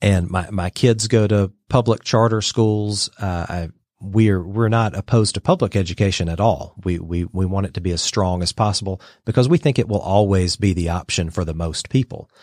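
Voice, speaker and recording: A man speaks in a plain, everyday voice at a fairly low pitch, with ordinary pitch variation and a moderate pace, in a very clean recording with a silent background and a dry, close sound with no echo. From US South, Georgia (Dalton, Northwest Georgia). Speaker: think tank president. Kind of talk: radio interview.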